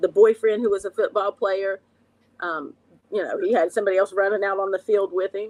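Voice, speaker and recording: Speaking with an Appalachian accent, a woman keeps a medium pitch and a fairly quick pace. Her intonation is fairly even, and the sound is dry and close with no echo. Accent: Appalachian Southern. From West Virginia, Logan (Appalachia). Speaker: recovery coach and addiction counselor. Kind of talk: personal testimony in an interview.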